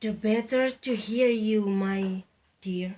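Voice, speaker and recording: A woman puts on a character voice at a fairly high pitch. She speaks at a very slow pace. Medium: read story. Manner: feigned sweetness.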